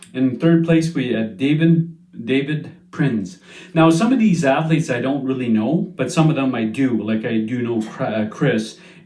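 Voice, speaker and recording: A man's dark, mellow voice at medium pitch, with lively intonation, a moderate pace and audible room echo. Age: 50s. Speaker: strongman competitor and channel host. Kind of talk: casual monologue recap. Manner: hesitant, many fillers.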